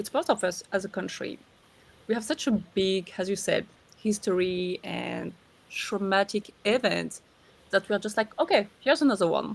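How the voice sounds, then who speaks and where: Her voice at a medium pitch with vocal fry, a woman with a French accent talks at a moderate pace with ordinary pitch variation. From southern France. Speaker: podcast co-host. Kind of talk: casual chat.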